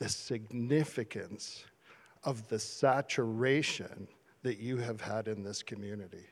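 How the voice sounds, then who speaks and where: With a Canadian accent, a man speaks at a very slow pace using ordinary pitch variation. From Canada, small town Ontario. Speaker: church leader. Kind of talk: encouragement address. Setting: church service.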